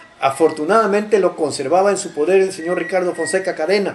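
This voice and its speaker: High-pitched man at a very fast pace, ordinary pitch variation, noticeable background noise. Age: 70s. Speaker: local chronicler. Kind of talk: interview. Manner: halting.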